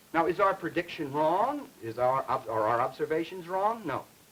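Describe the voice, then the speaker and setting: A man's pitch swings very widely as he talks at a fairly slow pace, with noticeable background noise behind him. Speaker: linguistics lecturer. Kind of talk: educational film lecture.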